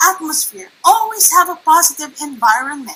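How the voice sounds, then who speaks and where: A woman's raised, projected voice moves through very wide pitch swings. Noticeable background noise sits behind her. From Philippines (Manila). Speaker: network marketing presenter. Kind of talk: online workshop presentation. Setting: livestream.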